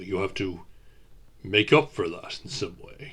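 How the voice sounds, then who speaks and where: A man does a raspy put-on character voice. He talks at a moderate pace. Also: fairly low pitch for a man, big swings in loudness. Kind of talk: audio roleplay to the listener. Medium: audio drama. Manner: gentle, measured, hesitant.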